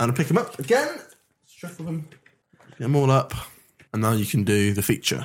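A somewhat breathy man with an English accent speaks at a medium pitch with lively intonation. He leaves long, frequent pauses. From England. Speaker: podcast host. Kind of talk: casual banter, comedic interview games.

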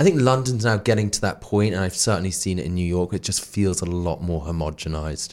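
A man talks at a very fast pace with a very deep, low pitch. His pitch varies in an ordinary way. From northeast England (Darlington, County Durham). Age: 40s. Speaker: podcast co-host, retail worker. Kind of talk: casual chat.

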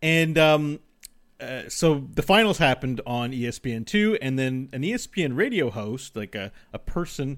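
A man uses a plain, everyday voice at a medium pitch and moderate pace, with lively intonation. The recording is very clean, with a silent background. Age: 30s. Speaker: gaming podcast co-host. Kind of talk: casual chat.

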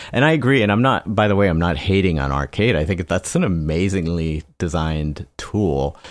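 Speaking at a moderate pace with hardly any pauses, a man uses a very deep, low voice, a relaxed tone and lively intonation. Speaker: electronic music producer. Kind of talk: casual interview chat. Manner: relaxed, laughs often.

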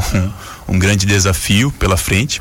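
A man's fairly low voice in a monotone, flat intonation, over noticeable background noise. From Joinville, Santa Catarina, southern Brazil. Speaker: former volleyball player, social project coordinator. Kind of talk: radio interview.

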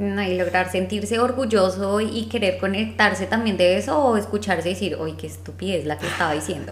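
A woman talks at a fairly quick pace with hardly any pauses. Audible room echo and noticeable background noise sit around her voice. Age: 30s. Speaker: podcast co-host. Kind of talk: casual chat.

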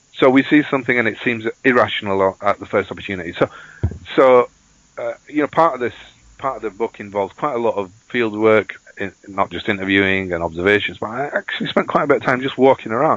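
The man talks at a very fast pace. His pitch is medium, with ordinary variation. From Bradford, northern England. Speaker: sociology lecturer and author. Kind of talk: academic interview. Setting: Skype call. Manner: halting, repeats words.

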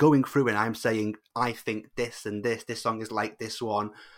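With an English accent, a man talks on a very clean recording over a silent background. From England. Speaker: Eurovision podcaster and fan club coordinator. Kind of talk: casual interview chat.

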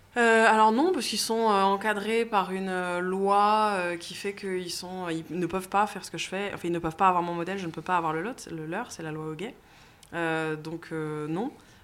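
A normal speaking voice moves at a moderate pace with ordinary pitch variation. Its loudness swings widely. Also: woman, medium pitch for a woman. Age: 30s. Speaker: CEO of a property listings company. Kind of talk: interview.

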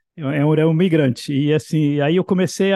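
The man's voice sits at a fairly high pitch. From Brazil, Bahia. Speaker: composer and professor. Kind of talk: interview. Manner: halting, repetitive.

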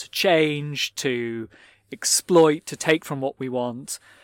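A man speaks with a British accent at a fairly high pitch. The recording is very clean, with a silent background and a dry, close sound with no echo. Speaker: podcast host and magazine editor. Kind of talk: interview conversation. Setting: recorded live at a fair.

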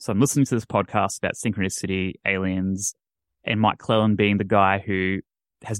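At a moderate pace, a man with a normal speaking voice, fairly low pitch and fairly even intonation comes through in a very clean recording, silent in the background, dry and close with no echo. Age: 20s. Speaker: paranormal podcaster. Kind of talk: casual chat.

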